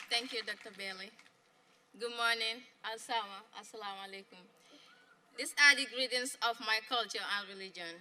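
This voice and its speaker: At a moderate pace with long, frequent pauses, the speech has fairly even intonation and big swings in loudness. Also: woman, fairly high pitch for a woman. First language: not English. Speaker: graduating student speaker. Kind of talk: graduation speech. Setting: graduation ceremony with audience.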